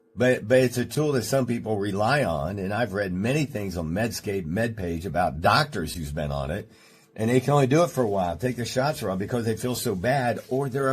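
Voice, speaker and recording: With vocal fry and lively intonation, a man talks at a fairly quick pace. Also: hardly any pauses. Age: 60s. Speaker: chiropractor. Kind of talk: radio health talk show. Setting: studio.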